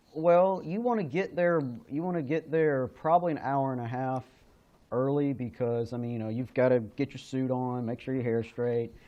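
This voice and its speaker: An unremarkable speaking voice, moderate in pace, with ordinary pitch variation. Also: man, medium pitch for a man. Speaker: wrestling ring announcer. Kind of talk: interview answer.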